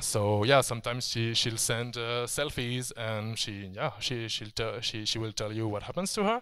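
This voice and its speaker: With fairly even intonation, a man speaks in a bright, sharp tone. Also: medium pitch for a man, moderate pace. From France. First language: French. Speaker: video game writer. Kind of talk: conference talk. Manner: halting, many fillers and restarts.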